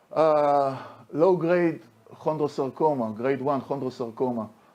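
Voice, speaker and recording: A man's fairly high, dark and mellow voice at a very slow pace, with ordinary pitch variation. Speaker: orthopedic oncology surgeon. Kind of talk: conference lecture. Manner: halting.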